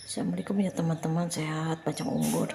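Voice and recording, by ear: Fast and fairly even in intonation, a woman talks with a low pitch. Her tone is dark and mellow, with vocal fry.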